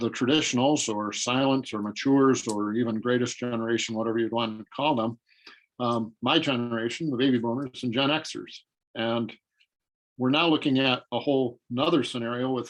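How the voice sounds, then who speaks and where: Here is a man with an unremarkable speaking voice. He talks fairly quickly at medium pitch with fairly even intonation. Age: 60s. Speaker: marketing consultant. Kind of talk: interview.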